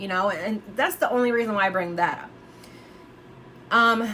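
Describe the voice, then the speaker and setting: A woman with a fairly high pitch and ordinary pitch variation talks at a moderate pace amid noticeable background noise. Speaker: true crime youtuber. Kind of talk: casual monologue speculating on a case. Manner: halting, many fillers and restarts.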